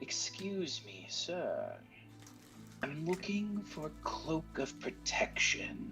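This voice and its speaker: Clear music plays in the background as someone talks in a put-on character voice at a very slow pace. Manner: polite, customer-service.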